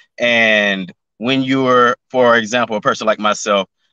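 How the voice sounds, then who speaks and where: A man with an American accent speaks at a moderate pace in a monotone, flat intonation. The sound is dry and close with no echo, and music plays in the background. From Memphis, Tennessee. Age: 20s. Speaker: YouTuber and musician. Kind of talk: casual chat.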